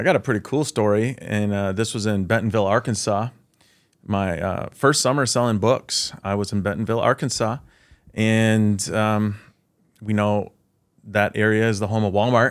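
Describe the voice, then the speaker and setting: An unremarkable speaking voice from a man at fairly low pitch, with fairly even intonation, a moderate pace and a quiet background. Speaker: podcast guest. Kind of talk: interview answer. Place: studio. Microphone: studio mic.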